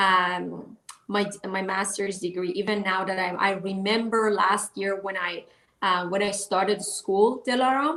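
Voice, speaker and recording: A woman talks fairly slowly, her medium-pitched voice holding a fairly even intonation. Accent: Persian. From Iran. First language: Persian. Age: 40s. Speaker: author and life coach. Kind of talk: interview. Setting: live online talk show. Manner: halting.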